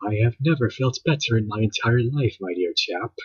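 A man's put-on character voice, medium-pitched and at a moderate pace. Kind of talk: refined.

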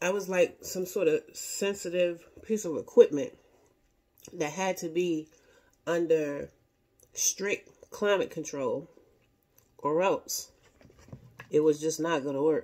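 The voice has a dark, mellow tone and ordinary pitch variation, set against a quiet background. It moves at a very slow pace with long, frequent pauses. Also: woman, fairly low pitch for a woman. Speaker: food vlogger. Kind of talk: casual vlog chat. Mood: relaxed, chatty. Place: home room. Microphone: phone near.

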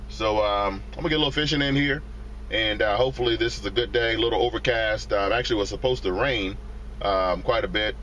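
At a fairly quick pace, the speech sounds dry with no echo and has light background noise. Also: man. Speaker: fishing vlogger. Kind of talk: casual vlog chat. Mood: relaxed, upbeat. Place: car. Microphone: phone near.

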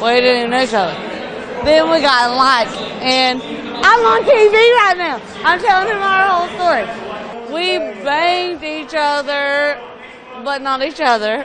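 In a Southern US accent, a woman speaks at a high pitch with very wide pitch swings. Her pace is fairly slow, and crowd noise sounds in the background. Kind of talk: interview answer.

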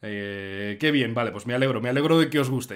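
A man's medium-pitched voice with ordinary pitch variation, against a quiet background. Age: 20s. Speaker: streamer host. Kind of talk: live stream chat. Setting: live stream. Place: home room. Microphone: earbuds.

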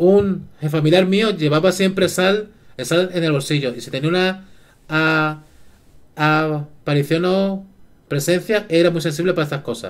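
With ordinary pitch variation, a man talks at a fairly slow pace. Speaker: live streamer. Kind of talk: casual stream chat. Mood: relaxed, storytelling about paranormal. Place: home room. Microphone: headset.

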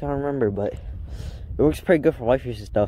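The man's voice sounds dry with no echo, against light background noise. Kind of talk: casual vlog chat. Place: open country. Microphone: phone near.

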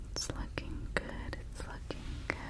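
A woman whispering at a fairly slow pace in a gentle, soothing tone. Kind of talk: soft-spoken role play. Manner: gentle, soothing soft voice. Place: home room. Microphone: studio mic.

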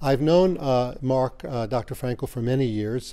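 A man with a dark, mellow tone speaks at a moderate pace. His pitch varies in an ordinary way over a quiet background. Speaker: school host introducing a speaker. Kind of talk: event introduction. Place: hall. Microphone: handheld.

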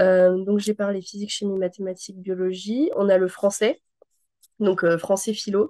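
Over a quiet background, a woman's voice carries a dark, mellow tone. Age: 20s. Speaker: veterinary student. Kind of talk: testimony. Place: home room. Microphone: video call.

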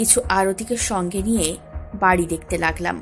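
A woman is speaking. Faint music sits in the background. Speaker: story narrator. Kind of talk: audio story narration.

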